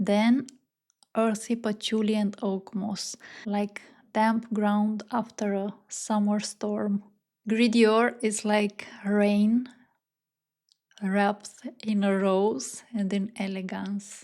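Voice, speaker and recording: With a non-native accent, a woman speaks at a very slow pace and medium pitch, her tone dark and mellow, her intonation monotone and flat, broken by long, frequent pauses. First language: not English. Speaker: fragrance reviewer. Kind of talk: fragrance review monologue. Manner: slow, dreamy and evocative.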